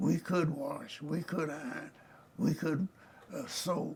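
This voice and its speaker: A man with a Southern US accent speaks at a fairly slow pace in a fairly high pitch, with noticeable background noise. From Arkansas. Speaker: retired judge. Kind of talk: oral history interview. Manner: halting.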